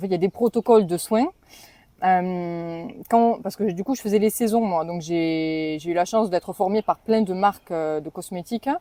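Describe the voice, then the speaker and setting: In a southwestern French accent, the speaker has a dark, mellow tone, a moderate pace and ordinary pitch variation. The recording is very clean with a silent background, and the sound is dry and close with no echo. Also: woman, medium pitch for a woman. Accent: southwest French. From southwest France, Toulouse area. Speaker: spa sales trainer. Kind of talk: podcast interview. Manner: hesitant, many fillers.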